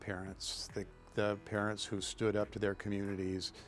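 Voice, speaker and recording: At a moderate pace, the speech unfolds with music in the background. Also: man. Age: 60s. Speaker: interviewee, LGBTQ community member. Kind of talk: interview testimony. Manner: halting, many fillers.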